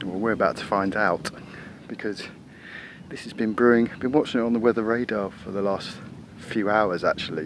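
At a moderate pace, a man talks at a fairly low pitch with ordinary pitch variation.

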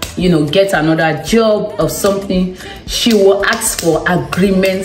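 Clear music plays in the background while a woman talks at a fairly slow pace with audible room echo. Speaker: vlogger. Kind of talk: casual vlog chat. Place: home room. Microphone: phone near.

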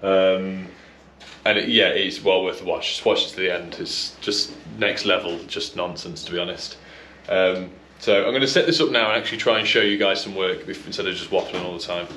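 A man talks at a fairly quick pace. Light background noise and audible room echo are present. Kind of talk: casual vlog chat. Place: garage. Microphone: phone near.

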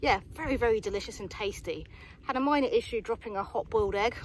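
A woman at a very fast pace, dry sound with no echo, light background noise. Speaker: hiking vlogger. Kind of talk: casual vlog chat. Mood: cheerful, upbeat. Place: open country. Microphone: phone near.

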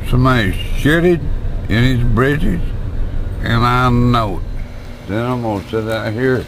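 Over noticeable background noise, a man speaks at a fairly slow pace with ordinary pitch variation, the sound dry with no echo. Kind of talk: casual home video chat. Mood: annoyed, joking complaint. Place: car. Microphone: phone near.

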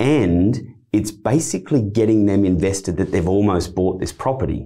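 A man's very deep, low voice, dark and mellow with a confident tone, ordinary pitch variation, and a moderate pace over a quiet background. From Australia. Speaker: auctioneer and real estate director. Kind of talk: interview answer, explaining auction tips. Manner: conversational, confident. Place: studio. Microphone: studio mic.

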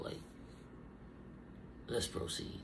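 The voice is somewhat breathy, and there is noticeable background noise. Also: man. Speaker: reaction video host. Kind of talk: casual reaction commentary. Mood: incredulous, joking. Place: home room. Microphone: studio mic.

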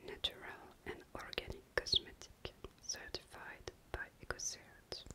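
This is a woman whispering in a gentle tone. Noticeable background noise can be heard behind her. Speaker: beauty vlogger. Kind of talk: casual product review chat. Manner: gentle whisper reading ingredients. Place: bathroom. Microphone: webcam.

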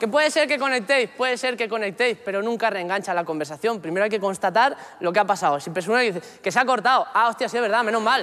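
A man speaks at a very fast pace in a raised, projected voice of extremely high pitch, bright and sharp in tone with ordinary pitch variation. Light background noise sits behind him. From Catalonia. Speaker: stand-up comedian. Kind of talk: stand-up comedy monologue. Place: stage.

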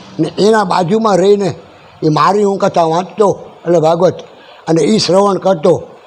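Through noticeable background noise, a man speaks in a high pitch with fairly even intonation and very even loudness. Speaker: temple priest. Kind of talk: interview.

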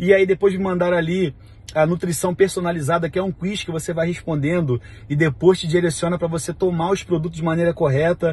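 A man with a Rio de Janeiro accent talks at a fairly quick pace. His high-pitched voice has fairly even intonation. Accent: Carioca Brazilian Portuguese. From Brazil, Rio de Janeiro (Vigário Geral). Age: 30s. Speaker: network marketing leader. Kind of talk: testimony. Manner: casual. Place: car. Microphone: phone near.

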